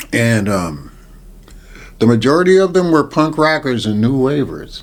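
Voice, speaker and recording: With an unremarkable speaking voice, a man talks at a moderate pace, his fairly high pitch carrying lively intonation. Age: 60s. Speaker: hospitality worker and DJ. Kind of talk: interview answer. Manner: casual, profane storytelling.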